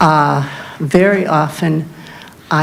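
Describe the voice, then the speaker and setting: Intonation stays fairly even, with audible room echo and noticeable background noise. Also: woman. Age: 70s. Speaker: public commenter, retired librarian. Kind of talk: public comment at township meeting.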